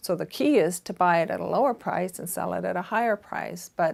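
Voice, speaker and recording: Speaking with a Canadian accent, a woman uses a medium pitch, vocal fry and fairly even intonation. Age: 60s. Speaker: fashion boutique owner. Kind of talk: interview monologue giving career advice.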